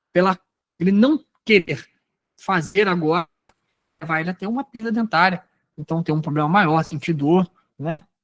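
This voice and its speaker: At a moderate pace, a man speaks with a high pitch and ordinary pitch variation, leaving long, frequent pauses. The sound is dry and close with no echo. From Rio de Janeiro state interior, Brazil. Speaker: sales trainer. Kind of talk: training lecture. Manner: conversational, animated; lowers voice to dramatize in role-play.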